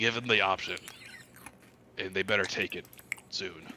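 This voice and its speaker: This man puts on a character voice. His pitch sits fairly low. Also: moderate pace. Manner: menacing, tightly restrained.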